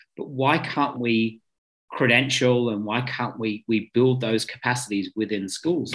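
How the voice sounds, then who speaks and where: With an Australian accent, a man speaks at a medium pitch and a moderate pace. His pitch variation is ordinary. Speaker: podcast host. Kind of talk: interview conversation.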